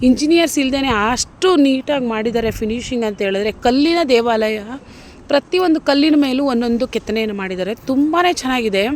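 A woman's high voice rises and falls with lively intonation. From Mysore, Karnataka, India. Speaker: YouTube vlogger. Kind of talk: travel vlog narration.

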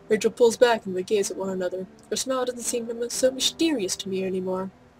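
Music plays in the background as a woman talks with a fairly high pitch. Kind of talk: casual let's-play commentary. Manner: softer and quieter than normal, reading game text aloud.

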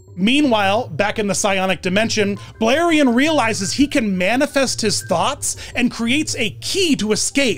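Faint music plays behind a man who talks at a fairly slow pace. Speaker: online video host. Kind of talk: commentary. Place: home room. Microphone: studio mic.

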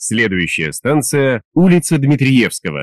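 With very wide pitch swings, a man talks at a fairly slow pace in a dry, close sound with no echo. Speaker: metro announcer. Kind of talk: public transit announcement. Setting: PA system. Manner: clear, measured.

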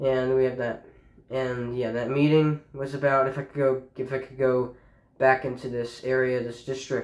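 Audible room echo surrounds the recording. A man speaks at a fairly slow pace with fairly even intonation. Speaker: high school student vlogger. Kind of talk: casual personal account to camera. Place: home room. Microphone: phone near.

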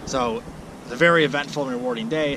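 Speaking at a fast pace, a man with a medium pitch and a bright, sharp tone shows ordinary pitch variation over faint background noise.

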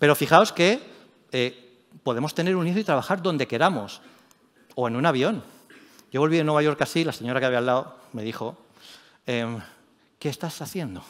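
Lively intonation at a fairly quick pace, broken by long, frequent pauses. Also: man, fairly high pitch for a man. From Spain, Elche (Alicante); Spain. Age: 40s. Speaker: tech journalist and editor; tech journalist. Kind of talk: conference talk. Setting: stage with audience. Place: stage.

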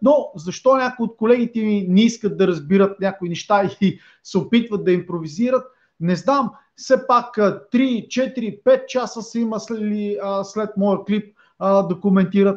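Against a quiet background, a man with a high pitch talks at a fairly slow pace, with ordinary pitch variation. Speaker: channel host, commentator. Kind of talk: commentary. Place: home room.

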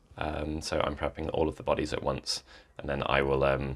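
A man speaks at a fairly quick pace, and the background stays quiet. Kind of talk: casual vlog chat. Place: home room.

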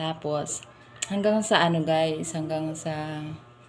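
Very slow speech from a woman, with noticeable background noise behind it. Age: 30s. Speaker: vlogger. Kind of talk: casual storytelling monologue. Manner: animated, laughing often.

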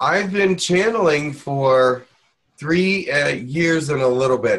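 A man speaks with a fairly high pitch and ordinary pitch variation. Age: 60s. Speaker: channeler and Reiki teacher. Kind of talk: online workshop. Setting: video call. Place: home room. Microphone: webcam.

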